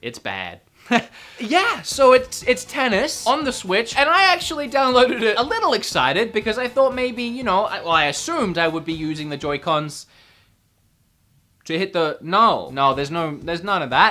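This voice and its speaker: Speaking in an Australian accent, a woman sounds animated, with a fairly high pitch, very wide pitch swings, and a moderate pace. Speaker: gaming youtuber. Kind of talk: video game review commentary. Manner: animated, casual with fillers.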